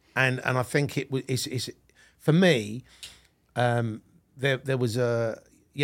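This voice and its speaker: A man with a London accent and fairly even intonation, in a very clean recording with a silent background. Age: 50s. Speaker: podcast host. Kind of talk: casual interview chat. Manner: halting, many fillers.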